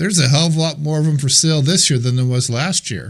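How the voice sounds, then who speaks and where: The voice belongs to a man and sounds somewhat breathy. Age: 60s. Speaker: real estate trainer. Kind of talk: masterclass talk to a group. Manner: casual and conversational.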